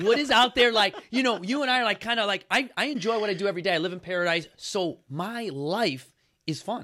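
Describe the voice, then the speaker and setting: This man has a high pitch and a raised, projected voice with a bright, sharp tone, an animated tone and lively intonation at a fairly quick pace. The recording is very clean, with a silent background. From Chicago. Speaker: podcast host and fitness founder. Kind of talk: casual interview chat. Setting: live on Instagram.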